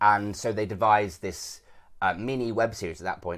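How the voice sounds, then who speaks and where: In a very clean recording with a silent background, a man with a British accent speaks fairly quickly and with fairly even intonation. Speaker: actor. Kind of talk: podcast interview. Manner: conversational, hedging.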